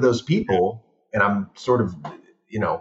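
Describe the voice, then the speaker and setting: With an American accent, a man talks in a somewhat breathy voice with lively intonation. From Los Angeles (San Fernando Valley). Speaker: film director. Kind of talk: casual chat.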